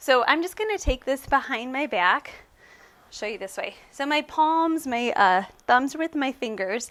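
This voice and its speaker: Heard in a very clean recording with a silent background, a woman speaks at a high pitch and a moderate pace with very wide pitch swings. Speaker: pilates instructor. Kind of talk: exercise tutorial. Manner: casual, chatty.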